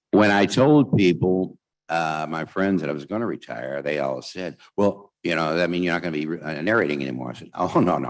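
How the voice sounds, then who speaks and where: A man's very deep, low voice with vocal fry, fairly quick and with hardly any pauses, ordinary pitch variation and big swings in loudness. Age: 70s. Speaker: talking book narrator. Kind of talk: convention speech with Q&A. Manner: halting, many fillers.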